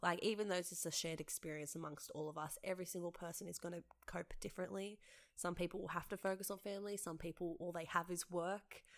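In an Australian accent, the speech races along at a very fast pace in a monotone, flat intonation. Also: woman, fairly low pitch for a woman. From Western Sydney, Australia. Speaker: theatre maker and director. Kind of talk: casual interview.

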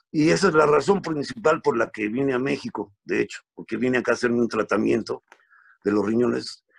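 Vocal fry runs through this fairly quick delivery with lively intonation. The sound is dry and close, without echo. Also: man, medium pitch for a man. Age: 50s. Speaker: comedian. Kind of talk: casual chat.

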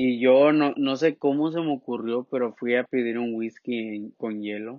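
This man has a normal speaking voice at a medium pitch. He keeps a moderate pace and fairly even intonation. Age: 20s. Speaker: podcast co-host. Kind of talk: casual chat.

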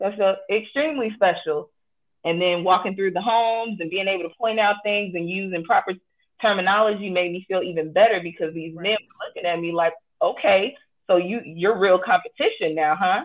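A woman with an American accent, medium pitch, ordinary pitch variation and a fairly quick pace. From Chicago, US. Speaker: home inspector and army veteran. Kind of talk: interview. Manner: passionate.

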